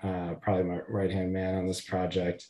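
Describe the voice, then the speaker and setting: A man with an American accent talks at a fairly quick pace in a dark, mellow tone and fairly low pitch. The background is quiet. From Connecticut (Hamden, near New Haven). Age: 30s. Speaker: attorney, former congressional investigative counsel. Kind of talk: interview, casual conversation.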